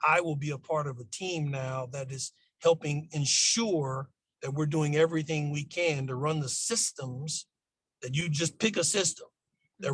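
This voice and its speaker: Somewhat breathy, a man with an American accent speaks at a fairly high pitch with ordinary pitch variation. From Los Angeles, California. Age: 60s. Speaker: school district administrator. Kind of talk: podcast interview.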